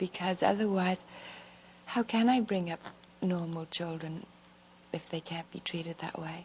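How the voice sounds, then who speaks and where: Long, frequent pauses break up a woman's somewhat breathy, fairly low voice, which moves at a moderate pace with fairly even intonation. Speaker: First Lady of the United States. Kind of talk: interview answer. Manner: soft-spoken, whispery.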